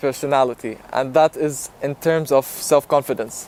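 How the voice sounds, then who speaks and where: Dry, close sound with no echo, a man's ordinary pitch variation, and music in the background. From Jordan. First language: Arabic. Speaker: YouTuber. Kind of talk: personal vlog talk. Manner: casual, with filler ums.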